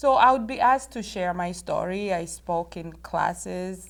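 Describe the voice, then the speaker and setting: A woman with a Rwandan accent talks at a fairly slow pace. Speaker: author and inspirational speaker. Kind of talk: interview.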